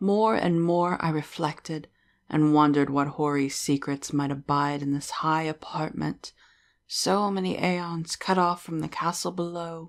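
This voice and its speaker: A woman speaks in an ordinary speaking voice, fairly low in pitch with ordinary pitch variation and a fairly slow pace. The recording is very clean with a silent background. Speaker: horror story narrator. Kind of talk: gothic horror story narration.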